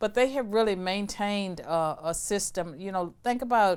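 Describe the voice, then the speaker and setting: A woman speaks with a Virginia accent. Her pace is moderate. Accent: Southern US (Virginia). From US South, rural Virginia. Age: 60s. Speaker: former professor of political science and law. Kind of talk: interview.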